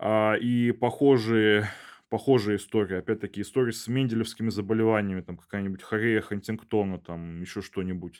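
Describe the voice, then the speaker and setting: A man with an ordinary speaking voice talks at a moderate pace and fairly low pitch, his intonation fairly even but with big swings in loudness, on a very clean recording with a silent background. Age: 20s. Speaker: bioinformatics researcher and PhD student. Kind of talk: casual interview chat.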